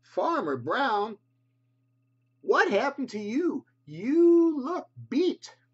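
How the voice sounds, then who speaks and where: A high-pitched put-on character voice, very slow, with long, frequent pauses. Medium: read story. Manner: folksy, plain.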